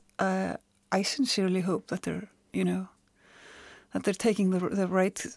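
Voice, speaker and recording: A woman of medium pitch with an Icelandic accent, fairly even in intonation, in a dry, close sound with no echo. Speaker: journalist and author. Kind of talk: casual chat. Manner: halting.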